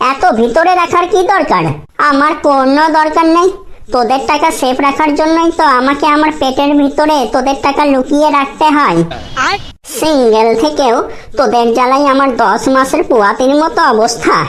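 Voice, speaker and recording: In a high-pitched cartoonish character voice, a woman talks at a moderate pace over clear background noise. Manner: rude, scolding, sarcastic.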